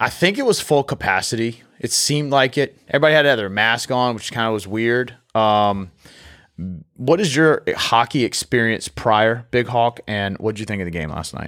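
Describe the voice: A man with a medium pitch speaks at a moderate pace with lively intonation and a fairly bright tone, on a very clean recording with a silent background.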